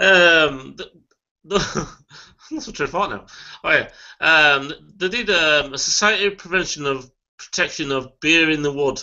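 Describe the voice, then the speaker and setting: In a quiet background, a man with a fairly high voice speaks at a fairly slow pace, using ordinary pitch variation and long, frequent pauses. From Yorkshire. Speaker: beer reviewer. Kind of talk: casual chat. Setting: video call. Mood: relaxed, chatty. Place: home room. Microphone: webcam.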